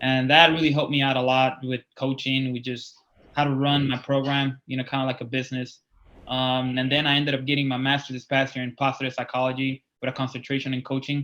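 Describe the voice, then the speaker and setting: With a Spanish accent and monotone, flat intonation, a man talks at a medium pitch and a very fast pace. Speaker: college wrestling coach. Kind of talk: interview.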